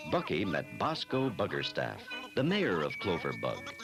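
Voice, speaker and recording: Music in the background behind a man at a fairly slow pace. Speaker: voice actor. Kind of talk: children's story narration.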